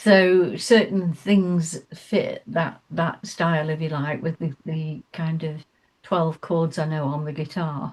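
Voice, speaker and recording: A woman with an English accent, fairly low-pitched and somewhat breathy, speaking at a very slow pace with fairly even intonation. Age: 70s. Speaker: singer-songwriter. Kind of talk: radio interview. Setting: studio. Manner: halting.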